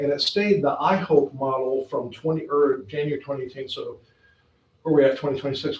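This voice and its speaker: A man's fairly high-pitched, ordinary speaking voice at a moderate pace. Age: 60s. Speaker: board governance trainer. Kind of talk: workshop presentation. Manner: casual, joking.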